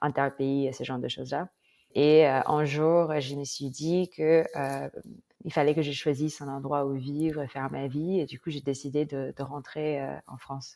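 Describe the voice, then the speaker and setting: In a very clean recording with a silent background, a woman speaks at a fairly slow pace in a very deep, low pitch, her tone dark and mellow and her intonation monotone and flat. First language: not French (speaking French). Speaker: former head of a government tech program. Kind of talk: interview. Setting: podcast. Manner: hesitant, many fillers.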